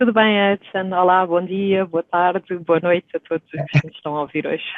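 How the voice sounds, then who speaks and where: Her intonation is fairly even. The woman talks at a moderate pace. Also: medium pitch for a woman, big swings in loudness. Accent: Portuguese. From Portugal. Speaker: stock exchange executive. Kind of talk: podcast interview. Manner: hesitant, many fillers.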